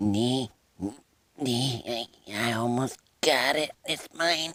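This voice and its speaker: Using a raspy put-on character voice at medium pitch, a man speaks at a very slow pace. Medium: voice reel. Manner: cocky, aggressive.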